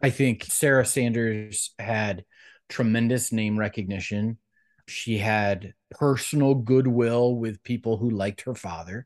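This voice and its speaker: An ordinary speaking voice with an American accent talks at a fairly slow pace with fairly even intonation, in a dry, close sound with no echo and a quiet background. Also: man, medium pitch for a man. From US Midwest, Cleveland, Ohio. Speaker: political director, former congressional candidate. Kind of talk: interview.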